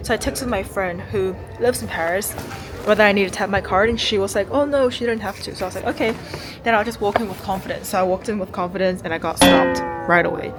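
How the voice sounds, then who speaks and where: A woman speaks very fast at a medium pitch with ordinary pitch variation. Noticeable background noise is present. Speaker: lifestyle vlogger. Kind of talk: vlog narration. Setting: library.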